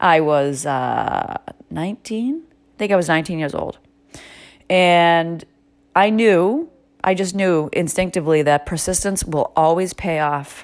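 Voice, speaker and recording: An animated woman with an American accent talks at a fairly slow pace with long, frequent pauses, her pitch fairly low with ordinary variation. The recording is very clean, with a silent background. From Massachusetts. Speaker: podcast host. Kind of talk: motivational monologue.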